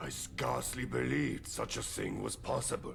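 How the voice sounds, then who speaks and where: A man uses a put-on character voice with a very deep, low pitch. Background noise is clearly heard. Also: moderate pace. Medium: game stream. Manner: formal, polite.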